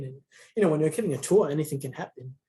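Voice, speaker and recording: A soft-spoken, somewhat breathy man's voice, dark and mellow in tone, at a fairly high pitch. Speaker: museum tour guide in training. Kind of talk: casual chat.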